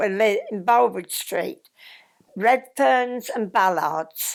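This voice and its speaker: A woman with a West Midlands accent speaks very slowly at a fairly high pitch, her intonation lively, on a very clean recording with a silent background. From Tamworth, Staffordshire, England. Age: 80s+. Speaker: former Scout leader. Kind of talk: reminiscence interview answer.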